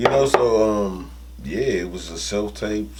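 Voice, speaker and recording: A man with an American accent speaks with very wide pitch swings. There is audible room echo and noticeable background noise. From Washington D.C. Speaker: actor and comedian. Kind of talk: interview. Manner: halting, many fillers.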